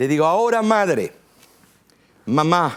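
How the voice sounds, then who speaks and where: A man is talking. His pace is very slow. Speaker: pastor. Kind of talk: sermon. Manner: forceful.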